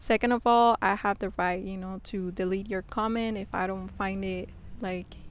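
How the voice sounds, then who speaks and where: The speaker uses a monotone, flat intonation in a Spanish accent. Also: woman. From Mexico. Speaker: YouTuber. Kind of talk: casual vlog talk. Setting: outdoors.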